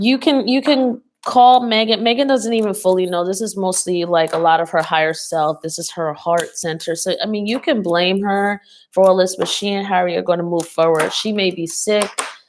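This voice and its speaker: A woman's ordinary speaking voice at medium pitch, with ordinary pitch variation and a moderate pace. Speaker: tarot reader. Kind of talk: psychic reading monologue. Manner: filler-heavy, many ums and likes.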